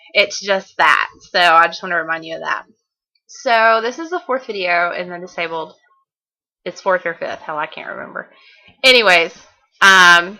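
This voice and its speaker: A woman's bright, sharp voice in a Southern US accent, with long, frequent pauses and big swings in loudness, on a very clean recording with a silent background. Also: medium pitch for a woman, ordinary pitch variation, moderate pace. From Southern United States. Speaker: author and blogger. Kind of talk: casual video diary to camera.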